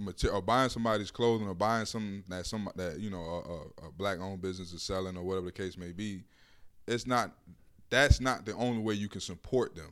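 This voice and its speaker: Speaking at a fairly quick pace, a man with a fairly low pitch shows big swings in loudness and ordinary pitch variation. The recording is very clean, with a silent background. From Miami, Florida. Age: 20s. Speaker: aspiring radio DJ. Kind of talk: casual chat.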